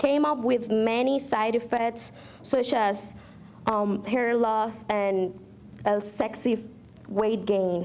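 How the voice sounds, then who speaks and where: A woman with a Spanish accent speaks at a very slow pace. Her pitch is fairly high. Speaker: community college student speaker. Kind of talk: speech. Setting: podium at a luncheon with audience. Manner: slightly halting, self-correcting.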